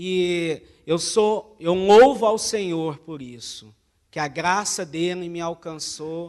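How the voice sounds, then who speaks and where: Speaking very slowly with a Minas Gerais accent, a man has a high voice. His pitch varies in an ordinary way. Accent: Brazilian Portuguese, mineiro. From Brazil, Minas Gerais (Uberlândia). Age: 20s. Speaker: missionary. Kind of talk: church talk, mission report. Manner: hesitant, many fillers.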